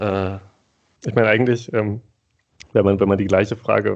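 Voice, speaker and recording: A man speaks with a fairly low pitch. His pace is moderate. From Thuringia, eastern Germany. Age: 30s. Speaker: podcast co-host. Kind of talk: casual conversation.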